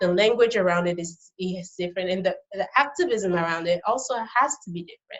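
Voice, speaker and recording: Her loudness swings widely as a woman talks fairly quickly at a medium pitch with ordinary pitch variation. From Benin, raised partly in the US. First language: Fon and Yoruba. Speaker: birth worker. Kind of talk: interview conversation. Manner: halting, with many fillers and restarts.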